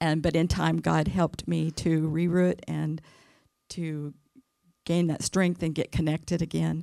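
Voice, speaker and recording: On a very clean recording with a silent background, a woman with an American accent speaks at a fairly slow pace. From California. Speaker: women's ministry speaker. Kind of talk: sermon. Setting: church. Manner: soft-spoken.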